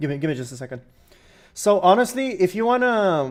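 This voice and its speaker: A man is speaking. Music plays in the background. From Romania. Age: 20s. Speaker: PC gaming streamer. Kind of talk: live stream Q&A with chat. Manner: casual, halting with fillers.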